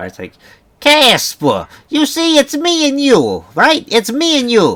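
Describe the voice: Doing a put-on character voice in a New Jersey accent, a man talks at extremely high pitch and a fairly slow pace.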